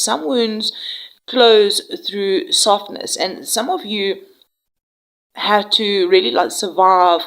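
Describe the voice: Slow and nasal, a woman's medium-pitched voice has a fairly bright tone and ordinary pitch variation.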